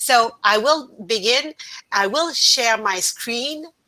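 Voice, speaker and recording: In a Quebec accent, a woman speaks at a very slow pace with a bright, sharp tone, a fairly high pitch and ordinary pitch variation. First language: French. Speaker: researcher presenting a paper. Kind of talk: conference presentation. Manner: halting, hesitant.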